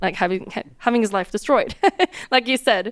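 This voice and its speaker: A woman speaks with a non-native accent. Her pace is very fast. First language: not English. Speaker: streamer's partner, podcast guest. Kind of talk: casual interview chat. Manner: hesitant, searching for words.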